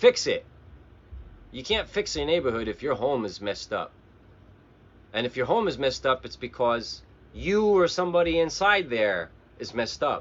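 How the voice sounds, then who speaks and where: Spoken with an American accent and vocal fry, the delivery moves at a moderate pace with very wide pitch swings. Long pauses come often. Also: man, fairly high pitch for a man. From New Jersey, Bergen County. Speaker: navy veteran and live streamer. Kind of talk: casual livestream monologue. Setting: Facebook live stream.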